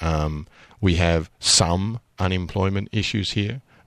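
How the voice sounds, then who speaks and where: A man's very deep, low voice with a slight Australian accent and ordinary pitch variation, dry and close with no echo, over a quiet background. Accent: slightly Australian. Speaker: business chamber executive director. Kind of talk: radio interview. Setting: radio studio.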